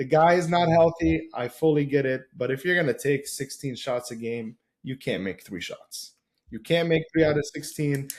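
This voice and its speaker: The voice sounds somewhat breathy and moves at a moderate pace with ordinary pitch variation. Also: man, fairly high pitch for a man. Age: 20s. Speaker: basketball podcast panelist. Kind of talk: casual chat. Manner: animated.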